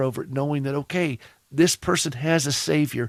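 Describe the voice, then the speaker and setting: A man with a Southern US accent talks at a moderate pace and fairly high pitch with ordinary pitch variation, the sound dry and close with no echo. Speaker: radio host. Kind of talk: radio talk show.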